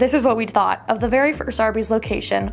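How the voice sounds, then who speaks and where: A woman with an American accent speaks over music in the background. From US Midwest, Youngstown, Ohio. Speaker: food show presenter. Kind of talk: scripted narration; casual vlog chat.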